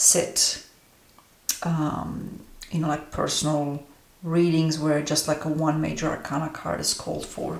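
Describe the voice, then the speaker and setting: A woman with a Romanian accent speaks in a very deep, low voice at a fairly slow pace, monotone and flat, with audible room echo. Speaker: tarot reader and astrologer. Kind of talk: deck review monologue. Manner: hesitant, many fillers.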